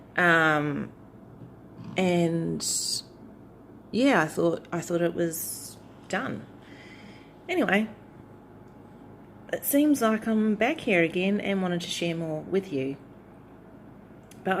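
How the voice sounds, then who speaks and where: With a New Zealand accent, a woman speaks at a very slow pace with ordinary pitch variation. Long, frequent pauses break up her speech. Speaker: tarot YouTuber. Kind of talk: casual vlog chat. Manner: hesitant, many fillers.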